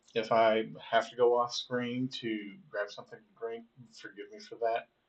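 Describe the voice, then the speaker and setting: Loudness swings widely as a man speaks in a monotone, flat intonation. His pitch is medium and his pace moderate. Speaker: country music singer-songwriter. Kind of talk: casual vlog talk. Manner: halting with many repeats and fillers.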